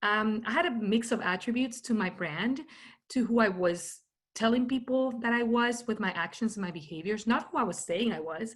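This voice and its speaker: The voice is somewhat breathy, with lively intonation. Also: woman, fairly high pitch for a woman, moderate pace. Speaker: keynote speaker on personal branding. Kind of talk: talk.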